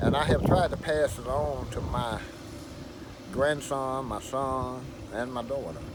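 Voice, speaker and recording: Against noticeable background noise, a man speaks at medium pitch and a fairly slow pace, with ordinary pitch variation and long, frequent pauses. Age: 70s. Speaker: flatbed truck owner operator. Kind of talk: interview answer.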